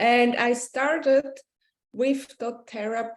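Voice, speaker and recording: A woman speaks at a high pitch with a Swiss accent. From Switzerland. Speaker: essential oils business leader, yoga teacher. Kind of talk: interview.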